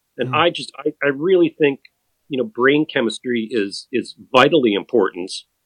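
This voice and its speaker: The man has an ordinary speaking voice, pitched in the medium range, with lively intonation. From US Midwest (Madison, Wisconsin). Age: 50s. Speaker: endurance cyclist. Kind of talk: interview.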